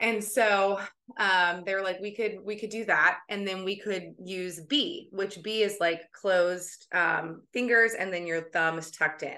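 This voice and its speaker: A woman's bright, sharp voice at a medium pitch. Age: 30s. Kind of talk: casual chat.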